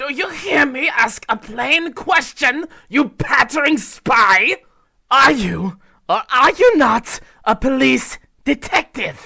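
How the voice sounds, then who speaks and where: This is a put-on character voice. It sounds high and shrill. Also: fairly slow pace. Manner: shrieking, crazed.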